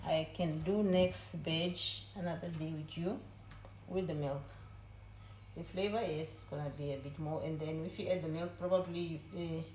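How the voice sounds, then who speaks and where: A woman with a very deep, low pitch and vocal fry talks at a moderate pace, her pitch varying in an ordinary way. Her loudness swings widely, and the room echo is audible. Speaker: home baking video host. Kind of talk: cooking tutorial. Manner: trying to talk low. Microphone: no microphone, camera audio.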